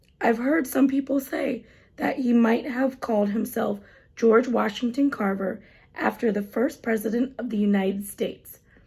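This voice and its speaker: A put-on character voice, raspy with a gentle, warm tone, moves along at a moderate pace. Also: female-sounding voice, fairly high pitch for a woman. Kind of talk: children's story reading. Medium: read story.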